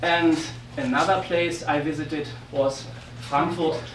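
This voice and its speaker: A man speaks at a moderate pace in a fairly high pitch. Audible room echo and noticeable background noise surround his voice. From Germany. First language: German. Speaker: physicist and railroad history speaker. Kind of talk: lecture. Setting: talk before an audience. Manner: halting, many fillers.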